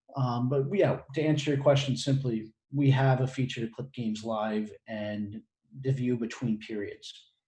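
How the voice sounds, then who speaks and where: Somewhat breathy with a dark, mellow tone, the voice moves at a moderate pace with fairly even intonation. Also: man, medium pitch for a man. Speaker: webinar host. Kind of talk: webinar Q&A.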